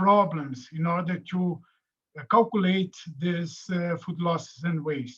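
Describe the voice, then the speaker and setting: A man's high voice, very slow, in a Portuguese accent. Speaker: professor. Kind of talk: lecture. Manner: halting.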